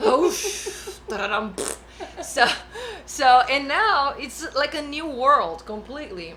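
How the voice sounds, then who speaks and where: In a raised, projected voice, a woman speaks very slowly at a high pitch, with very wide pitch swings and big swings in loudness, amid audible room echo and noticeable background noise. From Brazil. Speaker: bass player. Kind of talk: casual chat. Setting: studio.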